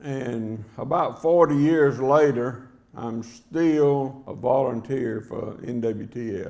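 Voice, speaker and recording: A man's medium-pitched voice at a very slow pace, with ordinary pitch variation and big swings in loudness. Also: hardly any pauses. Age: 70s. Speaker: hunting game call maker, award recipient. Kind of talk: acceptance speech. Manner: plain, unpolished delivery.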